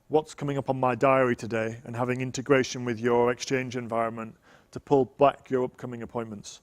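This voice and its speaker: Here a man talks with a Yorkshire accent at a fairly quick pace. His medium-pitched voice stays monotone and flat. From Yorkshire, northern England. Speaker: tech evangelist presenter. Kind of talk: technical conference talk.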